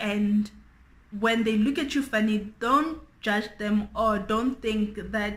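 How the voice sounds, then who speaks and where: Here a woman talks at a very slow pace. Her voice is somewhat breathy. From South Africa, Free State. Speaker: beauty YouTuber. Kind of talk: casual chat.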